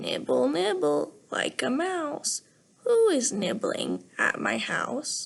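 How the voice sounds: Using a put-on character voice, a woman delivers her lines at a very slow pace.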